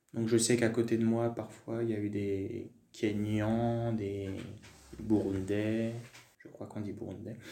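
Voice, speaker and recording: In a room with audible echo, a man with a dark, mellow tone and medium pitch talks at a very slow pace, using long, frequent pauses, a monotone, flat intonation and big swings in loudness. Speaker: French teacher. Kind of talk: casual interview, personal testimony. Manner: hesitant, many fillers.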